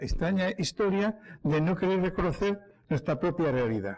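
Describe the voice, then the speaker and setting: Here a man speaks at a moderate pace. His pitch is high. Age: 60s. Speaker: historian speaker. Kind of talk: public talk. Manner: halting, with many fillers and restarts.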